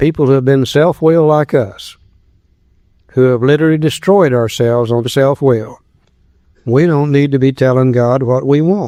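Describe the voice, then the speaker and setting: A man talks at a moderate pace in a fairly high pitch with a dark, mellow tone, ordinary pitch variation, very even loudness, and long, frequent pauses. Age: 60s. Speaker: recovery workshop speaker. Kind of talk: recovery workshop talk.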